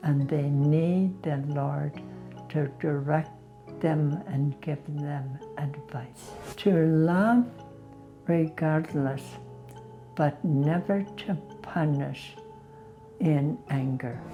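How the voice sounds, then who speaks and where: A woman with a Canadian accent and a very deep, low pitch speaks at a very slow pace with long, frequent pauses. Her pitch varies in an ordinary way, with music in the background. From Canada, northern Alberta. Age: 90. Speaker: interviewee telling her life story. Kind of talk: testimony interview.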